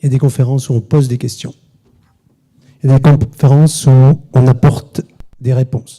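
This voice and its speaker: A man with a medium pitch and a dark, mellow, somewhat breathy tone speaks at a fairly quick pace in a monotone, flat intonation, with long, frequent pauses. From southern France, Sète. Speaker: business lecturer and author. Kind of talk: conference talk. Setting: conference hall with audience. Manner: fast.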